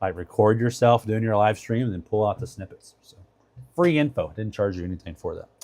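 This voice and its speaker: A man talks at a fairly quick pace in a fairly low pitch, with ordinary pitch variation. His loudness swings widely. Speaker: product reviewer and live streamer. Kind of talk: live stream product review. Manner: fast; casual, filler-heavy.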